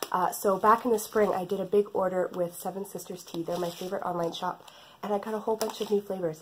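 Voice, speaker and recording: Woman of medium pitch in a Canadian accent, fairly quick and with fairly even intonation, over noticeable background noise. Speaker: knitting podcaster. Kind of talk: casual chat.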